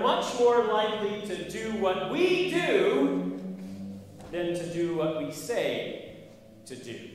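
A man's pitch swings very widely. Strong room echo and light background noise surround his voice. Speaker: pastor. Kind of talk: sermon. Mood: humorous anecdote. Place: church.

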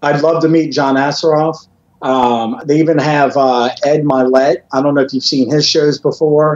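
A man is speaking at a moderate pace. His intonation stays flat and monotone. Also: fairly high pitch for a man, very even loudness. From Louisiana. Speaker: motivational speaker and author; motivational speaker. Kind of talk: interview. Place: home room. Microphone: video call.

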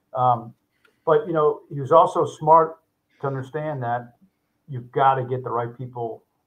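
A man with an American accent, somewhat breathy, at a moderate pace. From US Northeast. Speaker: home services company CEO; guest. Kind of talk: interview. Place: office.

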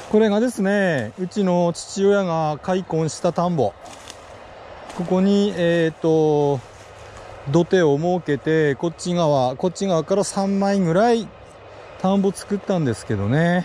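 Recorded dry with no echo and light background noise, the man speaks at a high pitch. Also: ordinary pitch variation, fairly slow pace. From Hachinohe, Aomori. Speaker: retired high school teacher. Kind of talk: mumbled monologue while hiking. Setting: outdoors. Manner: relaxed, soothing. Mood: relaxed, mellow, talking to himself. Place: forest. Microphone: phone near.

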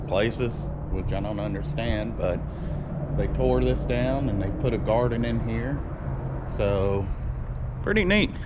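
A man speaks at a moderate pace, with noticeable background noise behind him. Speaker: vlogger. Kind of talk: casual vlog chat. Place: garden. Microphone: phone near.

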